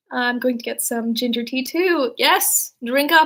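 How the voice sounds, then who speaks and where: This is a woman's voice. Her pitch sits high. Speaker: streamer reading stories. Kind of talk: casual livestream chat reading comments. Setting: livestream at home. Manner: monotone when not excited; casual, filler-heavy. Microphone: old laptop mic.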